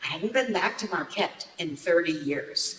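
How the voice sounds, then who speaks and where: A woman with an American accent speaks in a raised, projected voice at a fairly slow pace, with very wide pitch swings. Background noise is noticeable. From US Midwest, Upper Peninsula of Michigan. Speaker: storyteller. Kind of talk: personal storytelling performance.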